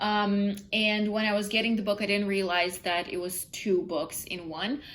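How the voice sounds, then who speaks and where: A woman with a non-native accent speaks at a medium pitch. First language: not English. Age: 20s. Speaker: book vlogger. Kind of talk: casual vlog. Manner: halting, many fillers.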